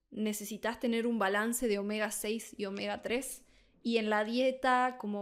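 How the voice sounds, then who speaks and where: Over a silent background on a very clean recording, a woman with a fairly high pitch speaks at a fairly slow pace. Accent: Argentine. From Argentina, Buenos Aires. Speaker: Spanish tutor. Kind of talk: tutorial.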